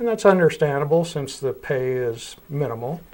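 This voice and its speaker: On a very clean recording with a silent background, the speech moves at a fairly quick pace with ordinary pitch variation. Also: man. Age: 60s. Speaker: mayor. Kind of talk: interview. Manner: halting, many fillers and repeats.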